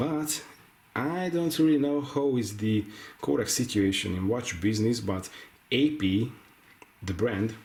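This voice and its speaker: Speaking slowly with long, frequent pauses, a man with a non-native accent uses lively intonation in a somewhat breathy, medium-pitched voice, with audible room echo. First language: not English. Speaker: watch reviewer. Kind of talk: product review. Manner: halting.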